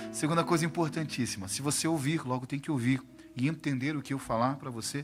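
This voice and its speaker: Somewhat breathy, a man talks at a medium pitch. His pace is very fast. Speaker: pastor. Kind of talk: sermon. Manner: animated.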